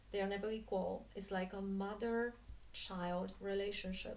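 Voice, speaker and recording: A woman with a Polish accent and fairly even intonation, with audible room echo around her. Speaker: spiritual coach and dance teacher. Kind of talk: monologue talk to camera. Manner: halting, many fillers.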